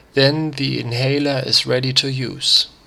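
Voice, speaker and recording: A man with a non-native accent speaks in a medium pitch with fairly even intonation. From Germany. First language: German. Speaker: crafter. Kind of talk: DIY tutorial narration read from script.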